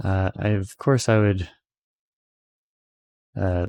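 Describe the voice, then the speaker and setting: Soft-spoken and relaxed, a man speaks fairly slowly in a very deep, low pitch with a dark, mellow tone and monotone, flat intonation. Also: dry, close sound with no echo, very clean recording, silent background. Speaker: ASMR channel host. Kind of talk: soft-spoken ASMR ramble to camera. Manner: soft-spoken, relaxed.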